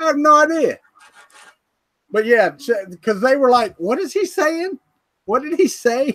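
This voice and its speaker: With a strong Southern US accent, a man speaks at a moderate pace in an extremely high pitch, his pitch swinging very widely between long, frequent pauses. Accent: thick Southern US. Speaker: 3D printing hobbyist co-host. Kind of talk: casual chat. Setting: live stream video call.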